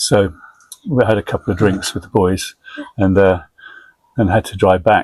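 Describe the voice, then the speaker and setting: A man with an English accent speaks at a fairly low pitch, with fairly even intonation. His delivery has long, frequent pauses in a dry, close sound with no echo. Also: moderate pace. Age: 70s. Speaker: army veteran, identical twin. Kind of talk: casual family interview.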